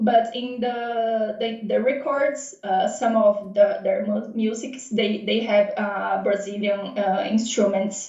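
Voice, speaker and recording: Speaking very slowly with hardly any pauses, a woman with a Portuguese accent uses a fairly high pitch and fairly even intonation over noticeable background noise. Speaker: renewals manager. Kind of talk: casual interview. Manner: halting, searching for words.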